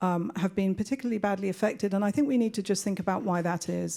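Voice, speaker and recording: Soft-spoken, a woman with a medium pitch and a dark, mellow tone talks with fairly even intonation in a very clean recording with a silent background. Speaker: education researcher, panelist. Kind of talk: panel discussion. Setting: conference panel with audience.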